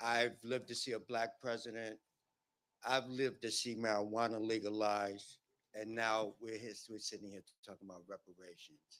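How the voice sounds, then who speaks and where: A man's medium-pitched voice holds a monotone, flat intonation while its loudness swings widely. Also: moderate pace. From Brooklyn, New York. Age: 70s. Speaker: formerly incarcerated community member giving public testimony. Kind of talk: public hearing testimony. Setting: public hearing with audience, at a microphone.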